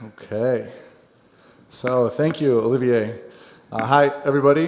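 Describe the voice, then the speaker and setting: A man with an American accent speaks at a medium pitch with fairly even intonation. Room echo is audible, along with noticeable background noise. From United States. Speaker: software account manager. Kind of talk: conference presentation. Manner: light-hearted, humorous.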